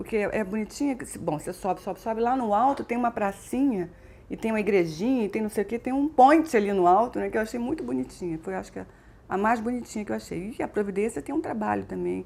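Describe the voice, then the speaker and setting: A woman talks very fast in a Rio de Janeiro accent, her pitch fairly high and her intonation lively. Her tone is dark and mellow. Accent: Carioca Brazilian Portuguese. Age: 50s. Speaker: businesswoman. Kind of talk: interview answer.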